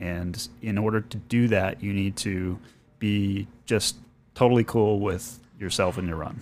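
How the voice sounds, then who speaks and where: A man with a fairly low pitch and a plain, everyday voice, fairly even intonation and a fairly slow pace. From New England (born in Boston, grew up partly in Maine). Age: 40s. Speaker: amateur marathon runner. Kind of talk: casual chat.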